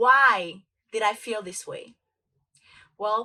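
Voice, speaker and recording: A woman speaks at a moderate pace with a Spanish accent. Her tone is bright and sharp. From Dominican Republic. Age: 20s. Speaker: motivational speaker. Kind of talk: motivational talk.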